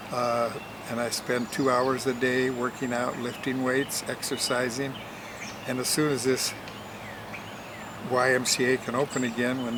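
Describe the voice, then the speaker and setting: A man with an American accent speaks at a medium pitch and moderate pace in flat, monotone intonation, with audible room echo and noticeable background noise. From Portland, Oregon, US. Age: 80s+. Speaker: interview guest, host's father. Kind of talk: interview.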